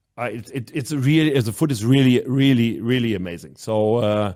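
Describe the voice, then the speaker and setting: A man with a German accent talks at a moderate pace in a medium-pitched voice of dark, mellow tone. His intonation is lively, and the recording is very clean with a silent background. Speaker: handball club manager and national team coach. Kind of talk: podcast interview. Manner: halting, many repetitions.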